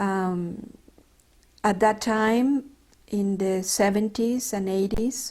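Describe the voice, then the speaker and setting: A woman with a Mexican accent speaks at a very slow pace with long, frequent pauses. Her pitch is fairly high, her intonation fairly even, and the recording is very clean with a silent background. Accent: Mexican Spanish accent, noticeable. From Mexico, Mexico City. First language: Spanish. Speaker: retired doctor. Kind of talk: oral history interview. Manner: halting, with many fillers.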